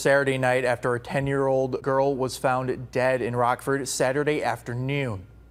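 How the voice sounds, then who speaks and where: Music plays in the background as a man speaks at medium pitch. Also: hardly any pauses. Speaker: news anchor. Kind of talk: local TV news anchor delivery.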